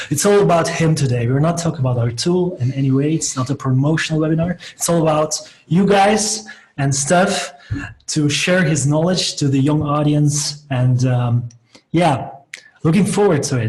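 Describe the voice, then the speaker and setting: This man speaks at a moderate pace in a fairly high pitch, with ordinary pitch variation. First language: Dutch (Flemish). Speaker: software company co-founder and webinar host. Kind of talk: interview. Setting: video call webinar.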